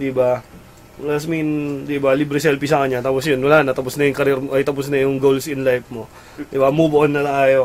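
A man talking at a very fast pace over light background noise. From Philippines. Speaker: gaming website host. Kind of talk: casual live-stream chat. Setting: live stream studio. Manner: animated. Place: home room.

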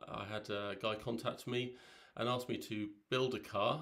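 The background stays quiet. A man talks with fairly even intonation. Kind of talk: casual vlog chat. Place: home room. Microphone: phone near.

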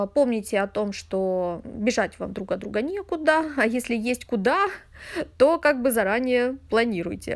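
A woman's high-pitched voice with very wide pitch swings, at a fairly slow pace. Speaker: tarot reader. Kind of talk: tarot reading monologue. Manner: chatty, conversational.

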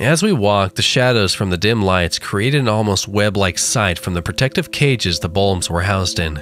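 A plain read-aloud passage.

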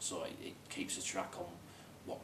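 Noticeable background noise behind a male speaker. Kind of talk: interview answer. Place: office.

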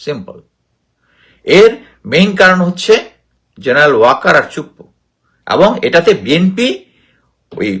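Lively intonation and an animated tone carry a man's high voice. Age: 50s. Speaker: retired army officer, political commentator. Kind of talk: political commentary.

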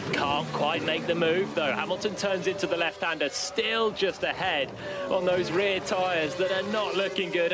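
Despite loud background noise, a man with a high pitch sounds animated, his voice dry with no echo and very even in loudness. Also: hardly any pauses. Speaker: race commentator. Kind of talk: live race commentary. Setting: radio broadcast. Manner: animated, quick, urgent play-by-play. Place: booth.

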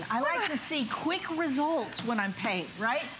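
Against loud background noise, a woman with a high pitch speaks at a fairly slow pace in an upbeat, enthusiastic tone, her pitch swinging very widely. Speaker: home improvement expert and master carpenter. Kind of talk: home shopping TV product demonstration. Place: studio. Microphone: lapel.

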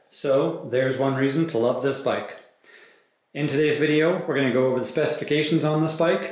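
In audible room echo, a man speaks with fairly even intonation against a quiet background. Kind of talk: product review commentary. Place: shop.

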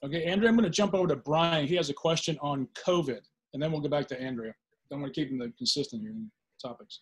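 A man with an American accent talks at a very fast pace, with a fairly high pitch and lively intonation. His voice is somewhat breathy, over a quiet background. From Virginia. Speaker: panel host, former state legislator. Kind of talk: panel interview. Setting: video call. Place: home room. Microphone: video call.

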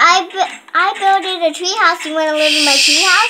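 Someone puts on a squeaky character voice at a moderate pace. Noticeable background noise runs underneath. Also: woman, extremely high pitch for a woman. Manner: shouting. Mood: playful, friendly.

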